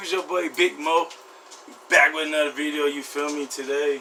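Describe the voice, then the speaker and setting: A man's fairly high-pitched voice comes through over noticeable background noise. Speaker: vlogger. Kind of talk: casual vlog. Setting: indoors at home, door open.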